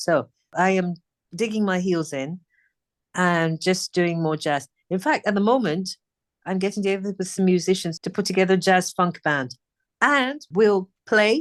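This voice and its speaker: A woman with a British accent speaks at a moderate pace in a medium pitch. The sound is dry and close with no echo, against a quiet background. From England. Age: 60s. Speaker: singer. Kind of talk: interview chat.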